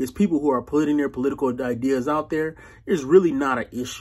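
A man speaks at a medium pitch and a fairly quick pace, with ordinary pitch variation. His tone is slightly mellow, with a slightly husky edge.

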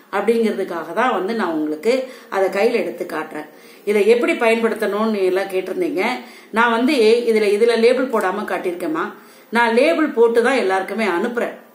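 A woman speaks at a fairly high pitch with lively intonation. Audible room echo surrounds her voice. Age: 60s. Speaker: home remedy video blogger selling herbal products; herbal product seller. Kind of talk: tutorial vlog addressing viewers. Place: home room. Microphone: phone near.

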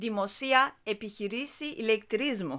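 Fairly high in pitch, a woman talks at a fairly slow pace in a bright, sharp tone. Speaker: Greek language teacher. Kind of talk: language tutorial.

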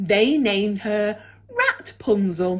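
A woman's animated, gentle tone over a quiet background. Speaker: primary school teacher. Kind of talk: children's story reading aloud, bedtime-style storytelling. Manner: animated, expressive, changing tone for the cat and characters' dialogue; gentle, measured storyteller pacing. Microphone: phone near.

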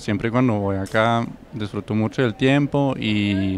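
A man with a German accent at a moderate pace, fairly even intonation, a dry sound with no echo, and light background noise. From Germany. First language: German (speaking Spanish). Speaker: exchange student. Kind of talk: testimony; interview answer. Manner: halting. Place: garden. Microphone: handheld.

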